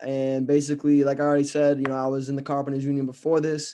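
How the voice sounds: A fast pace pairs with monotone, flat intonation and a dark, mellow tone. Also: man, medium pitch for a man.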